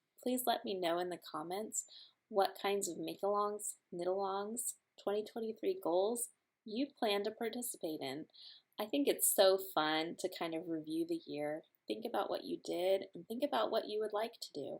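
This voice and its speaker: Using an ordinary speaking voice, a woman talks at a moderate pace and medium pitch with lively intonation. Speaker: knitting podcaster. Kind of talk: casual vlog talk.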